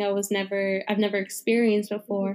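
A woman talks at a moderate pace in an ordinary speaking voice. Her pitch is fairly high. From New Jersey. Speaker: nurse. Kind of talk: interview.

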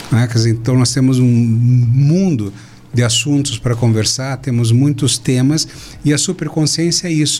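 Noticeable background noise sits behind a man with a medium pitch and ordinary pitch variation. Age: 60s. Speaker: physician and speaker. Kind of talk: political talk show discussion. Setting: studio, live stream.

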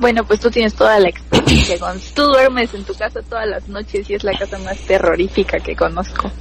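A woman's fairly quick speech comes through noticeable background noise. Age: 20s. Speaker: biology student. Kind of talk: casual chat, telling personal ghost stories.

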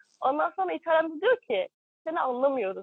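A woman is speaking. Her pace is moderate. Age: 20s. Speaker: working holiday traveler. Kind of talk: interview. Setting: remote live broadcast from caravan park.

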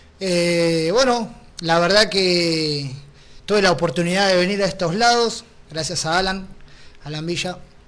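There's audible room echo as a man speaks at a fairly slow pace with long, frequent pauses. His pitch is high with ordinary variation. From Argentina. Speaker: mixed martial arts fighter. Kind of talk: interview.

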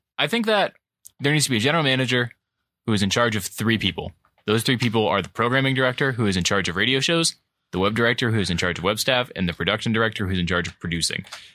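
A man with an American accent talks at a very fast pace with lively intonation and a medium pitch. His tone is bright and sharp, and the recording is very clean with a silent background. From Cleveland, Ohio. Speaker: college radio host. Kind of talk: casual chat. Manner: animated.

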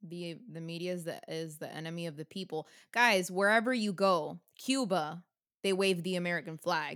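A woman's unremarkable speaking voice, fairly low in pitch with ordinary pitch variation, at a moderate pace with big swings in loudness. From United States. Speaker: podcast co-host. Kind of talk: casual chat.

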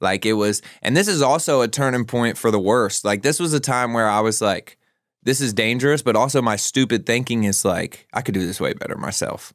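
Over a very clean recording with a silent background, a man with an ordinary speaking voice talks at a fairly quick pace and a medium pitch, with ordinary pitch variation. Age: 20s. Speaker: guest in addiction recovery. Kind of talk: casual chat.

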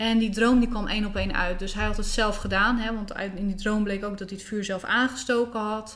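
A woman's fairly high, monotone voice with flat intonation, a fairly quick pace and hardly any pauses. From Netherlands, South Holland (between Rotterdam and The Hague). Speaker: spiritual coach. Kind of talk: interview conversation. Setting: at the host's home.

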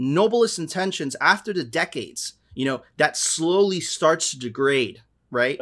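In an unremarkable speaking voice, a man with an American accent talks at a fairly slow pace, his pitch fairly high and his intonation lively. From Miami, US. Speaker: podcast host. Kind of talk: casual chat.

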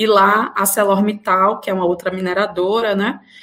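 Her pitch is medium, and the woman talks at a fairly slow pace. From Bahia interior, Brazil. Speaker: law professor. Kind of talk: interview. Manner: hesitant fillers.

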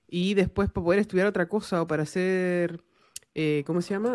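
In a Chilean accent, a woman speaks at a moderate pace with ordinary pitch variation. The recording is very clean, with a silent background. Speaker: podcast host and engineering lecturer. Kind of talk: casual interview chat.

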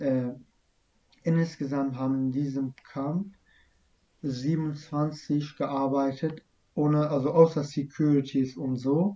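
A man's fairly high, dark, mellow voice with a non-native accent, at a very slow pace with long, frequent pauses and fairly even intonation. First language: not German (speaking German). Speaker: refugee telling his story. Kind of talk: interview about personal story.

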